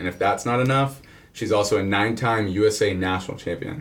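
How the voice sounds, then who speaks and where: A man talks with a Texan accent at a moderate pace. His voice is fairly low and somewhat breathy. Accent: Texan American. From Houston, Texas. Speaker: podcast host. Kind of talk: scripted intro reading; casual interview chat. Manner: animated.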